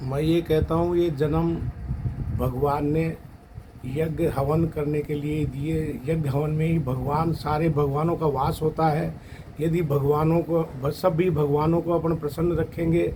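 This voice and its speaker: Noticeable background noise sits behind a man with a fairly high pitch. His loudness is very even and his intonation monotone and flat. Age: 60s. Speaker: devotee at fire ritual. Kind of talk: testimony.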